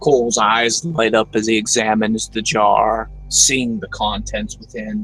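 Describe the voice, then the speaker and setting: Using a put-on character voice at medium pitch, a man talks at a moderate pace with hardly any pauses while clear music plays in the background. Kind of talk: dark gothic story narration. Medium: solo performance. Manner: slow, halting, with filler pauses.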